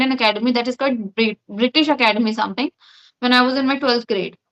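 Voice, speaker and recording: A woman talks at a very fast pace with a high pitch and ordinary pitch variation. The sound is dry and close with no echo. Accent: Indian. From India, Uttar Pradesh. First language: Hindi. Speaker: English conversation practice partner. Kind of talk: casual chat.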